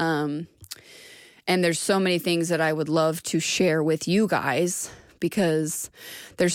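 The fairly low voice of a woman comes through a very clean recording with a silent background. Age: 30s. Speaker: podcast host. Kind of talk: solo personal monologue. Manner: hesitant, many fillers.

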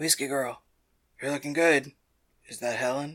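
A put-on character voice, low-to-middle in pitch, at a moderate pace. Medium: audio drama. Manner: jovial, teasing.

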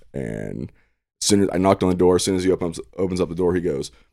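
A man speaks at a very deep, low pitch with a dark, mellow tone and vocal fry. His pace is fairly quick, and the recording is very clean with a silent background. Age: 30s. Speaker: podcast guest. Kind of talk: casual chat.

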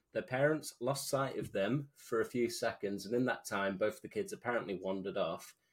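Hardly pausing, a man with a British accent talks at a fairly quick pace in a medium pitch with very wide pitch swings, recorded very cleanly with a silent background. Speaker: podcast co-host. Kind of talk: casual chat. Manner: animated.

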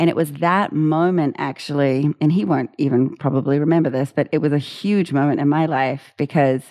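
With a New Zealand accent, a woman speaks at a moderate pace in a very deep, low voice with ordinary pitch variation, over a quiet background. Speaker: music education founder, former opera singer. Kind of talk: interview.

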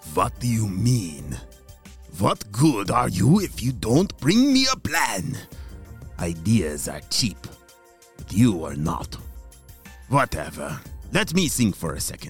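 A man puts on a character voice, fairly low in pitch, speaking at a fairly slow pace with long, frequent pauses. Faint music plays in the background. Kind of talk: kids' audio story comic villain. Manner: bossy, impatient, gleeful scheming.

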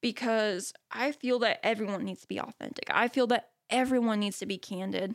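A woman with an ordinary speaking voice talks at a moderate pace and a fairly high pitch. Her pitch varies in an ordinary way, on a very clean recording with a silent background. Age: young. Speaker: podcast host and photography educator. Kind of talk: solo reflective monologue.

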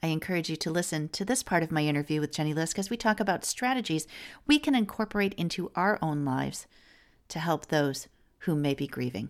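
On a very clean recording with a silent background, a woman speaks fairly quickly in a normal speaking voice, fairly low-pitched, with lively intonation. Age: late 40s. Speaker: podcast host. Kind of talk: podcast interview; scripted intro and outro.

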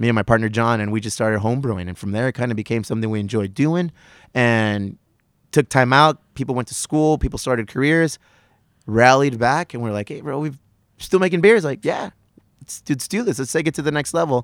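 With an American accent and lively intonation, the speaker goes at a fairly quick pace in a dry, close sound with no echo on a very clean recording with a silent background. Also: man, medium pitch for a man. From US, South Bay San Diego (Chula Vista). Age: 40s. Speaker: brewery owner and podcaster. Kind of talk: casual chat. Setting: outdoors on a back patio.

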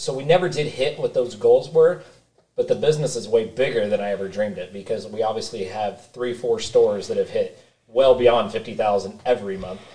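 A man at a fairly quick pace. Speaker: supplement store co-owner. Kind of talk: casual chat. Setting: studio.

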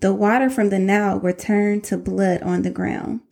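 With an animated, warm tone, a woman in a Southern US accent talks at a moderate pace. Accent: country, Southern US. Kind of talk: motivational faith-based monologue. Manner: animated, warm, conversational.

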